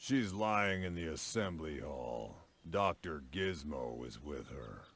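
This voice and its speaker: In a put-on character voice, a man speaks at a very deep, low pitch with very wide pitch swings. His pace is fairly slow. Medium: video game. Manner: deadpan.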